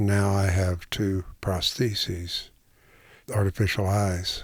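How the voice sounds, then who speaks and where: A man speaks at a very deep, low pitch in a somewhat breathy voice with monotone, flat intonation. The recording is very clean, with a silent background. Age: 70s. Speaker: retired teacher and writer. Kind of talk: personal testimony interview.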